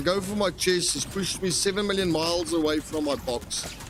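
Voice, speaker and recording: Speaking at a fairly slow pace in a South African accent, a man with a high pitch is heard over music in the background. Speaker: gaming streamer. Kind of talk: live gameplay commentary. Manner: casual, many fillers.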